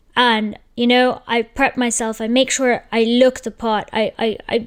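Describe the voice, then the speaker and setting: A woman's high-pitched voice with fairly even intonation, on a very clean recording with a silent background. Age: 30s. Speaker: entrepreneur, channel host. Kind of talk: casual monologue.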